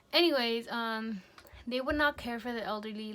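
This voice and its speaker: A woman speaks at a fairly slow pace in a fairly high pitch. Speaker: vlogger and nursing assistant student. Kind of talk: video diary. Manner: rambling, jumps between topics; casual, many fillers.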